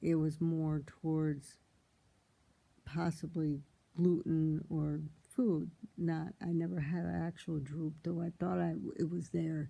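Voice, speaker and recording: A woman speaks with a very deep, low pitch in a flat monotone. Her pace is very slow, with long and frequent pauses. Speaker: vlogger sharing brain injury recovery. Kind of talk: casual personal monologue. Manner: halting, with repeated words.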